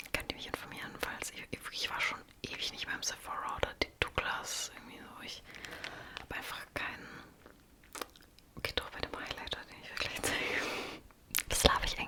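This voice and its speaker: Whispered speech from a woman at a medium tempo, with clearly audible background noise. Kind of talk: ASMR makeup show and tell, casual talk to camera. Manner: whispered, soft-spoken.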